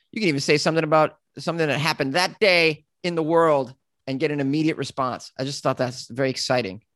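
With a quiet background and dry, close sound with no echo, a man talks very fast in a fairly high voice with ordinary pitch variation. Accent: Boston. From Massachusetts. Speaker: comedian and podcaster. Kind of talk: casual chat.

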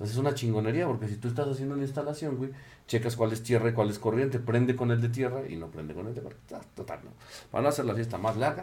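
A man with a Mexican accent talks at a very fast pace, his dark, mellow, somewhat breathy voice at medium pitch with ordinary variation. His loudness swings widely, and audible room echo surrounds him. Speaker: podcast co-host. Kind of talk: casual chat. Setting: studio with camera.

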